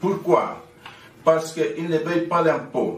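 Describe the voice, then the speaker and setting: There is audible room echo as a man with a Chilean accent and a high pitch speaks at a very slow pace. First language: Spanish (speaking French). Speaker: activist and NGO president. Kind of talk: commemorative speech. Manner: halting.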